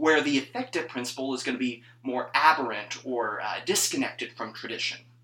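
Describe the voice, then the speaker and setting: There is noticeable background noise as a man speaks at a moderate pace. His pitch varies in an ordinary way. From northern Mississippi (US South). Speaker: church music PhD student. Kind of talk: casual chat.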